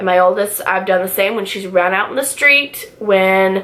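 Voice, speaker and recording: Noticeable background noise is present as a woman talks at a moderate pace. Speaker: stay-at-home mom vlogger. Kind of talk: casual vlog chat. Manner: loud; casual, filler-heavy.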